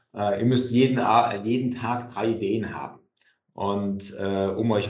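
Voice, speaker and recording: A man talks at a very slow pace. His pitch varies in an ordinary way, and audible room echo is present. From Germany, Kassel (northern Hesse). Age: 40s. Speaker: entrepreneur. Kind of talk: interview.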